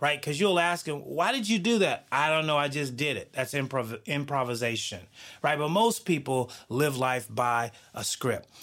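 A man speaks in a normal speaking voice with an American accent. His pitch is fairly high, his intonation lively, and his pace moderate. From US South. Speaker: podcast host and author. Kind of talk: motivational monologue.

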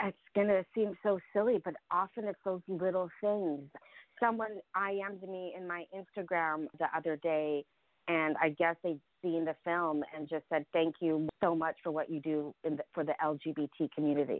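A woman talks at a fairly slow pace in a fairly low pitch. Hers is an ordinary speaking voice, with fairly even intonation. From Ukraine, raised in US from age seven. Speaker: actor and filmmaker. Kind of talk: interview.

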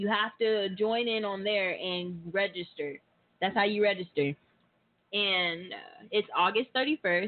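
A woman with an American accent has an ordinary speaking voice. She speaks at a fairly slow pace and medium pitch with ordinary pitch variation. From Oklahoma, Tulsa. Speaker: model and event organizer. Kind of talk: casual radio interview.

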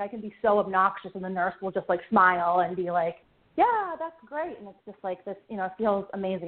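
A woman with an American accent talks at a very fast pace. Noticeable background noise runs underneath. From Pittsburgh, US. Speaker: comedian. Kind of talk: casual chat. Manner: halting, many fillers.

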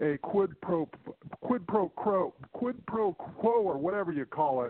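The man's voice is high-pitched. It varies in pitch in an ordinary way. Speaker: caller. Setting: phone.

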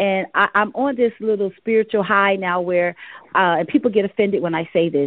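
A woman speaks at a fairly quick pace in a plain, everyday voice, medium in pitch with ordinary pitch variation. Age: 40s. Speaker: gospel singer and co-pastor. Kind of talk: interview. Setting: studio.

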